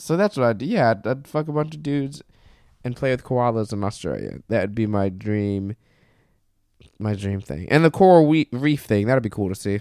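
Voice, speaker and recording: A man's medium-pitched, plain, everyday voice with an American accent, at a moderate pace, on a very clean recording with a silent background. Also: lively intonation. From Florida, Brevard County. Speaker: stand-up comedian. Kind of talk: casual chat.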